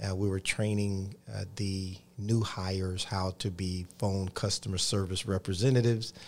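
Fairly low in pitch, a man with a Georgia accent speaks with fairly even intonation. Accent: Southern American (Georgia). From US South, Columbus, Georgia. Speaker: pastor. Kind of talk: interview on TV faith show.

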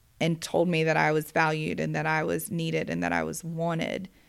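A woman with an American accent at a moderate pace, on a very clean recording with a silent background. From US South, Georgia (Gwinnett County). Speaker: construction company operations director. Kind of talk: casual interview. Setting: office.

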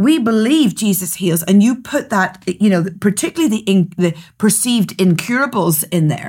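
Recorded very cleanly against a silent background, a woman with a somewhat breathy voice talks at a moderate pace with lively intonation and very even loudness. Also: medium pitch for a woman, hardly any pauses. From Northern Ireland. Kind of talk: casual chat about scripture and prophecy. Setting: studio.

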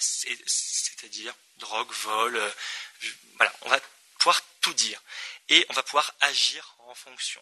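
Here a man is talking. His pace is very slow. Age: 20s. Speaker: NGO co-founder. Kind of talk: conference talk.

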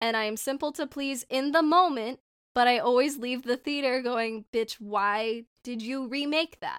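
A woman with an American accent speaks at a fairly slow pace in a high voice, with ordinary pitch variation and a dry, close sound with no echo. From Southern California. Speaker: podcast co-host. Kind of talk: casual chat. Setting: home bedroom.

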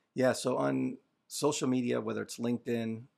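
Calm in tone, a man with a fairly low pitch and vocal fry speaks at a moderate pace in a very clean recording with a silent background. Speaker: holistic health coach. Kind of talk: casual chat.

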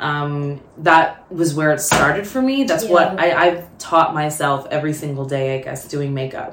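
Speaking with an American accent and hardly any pauses, a woman with a very deep, low pitch uses ordinary pitch variation against noticeable background noise. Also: moderate pace. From US South, Atlanta. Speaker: makeup artist and model. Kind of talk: casual chat. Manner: animated.

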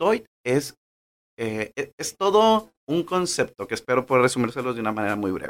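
A medium-pitched male voice at a moderate pace, with very wide pitch swings. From Mexico, Manzanillo, Colima. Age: 30s. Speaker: podcast host, nutritionist. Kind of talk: personal storytelling monologue. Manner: hesitant, many fillers.

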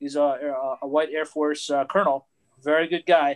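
The voice heard here is a normal speaking voice. Its pace is moderate. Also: man, dry, close sound with no echo, quiet background. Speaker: pilot and aerospace engineer. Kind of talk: panel discussion. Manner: self-deprecating.

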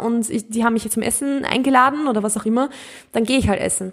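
A woman talks at a fairly quick pace with a fairly high pitch. Her intonation stays fairly even. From Austria, Mühlviertel (rural Upper Austria). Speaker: podcast host, nutrition coach. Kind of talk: casual podcast monologue.

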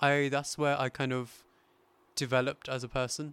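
A man with a British accent speaks at a fairly high pitch, recorded very cleanly against a silent background. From England. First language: Hindi. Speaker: podcast host, financial services worker, volunteer. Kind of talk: casual interview chat.

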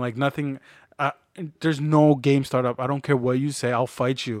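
A man in a Spanish accent, flat and monotone in intonation, with a dry, close sound with no echo in a very clean recording against a silent background. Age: 30s. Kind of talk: casual chat.

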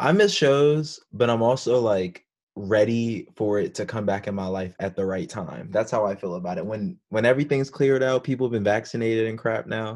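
An unremarkable speaking voice from a man with an American accent, at a medium pitch and fairly quick pace, with ordinary pitch variation and hardly any pauses. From Florida. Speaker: podcast host. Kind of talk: casual chat.

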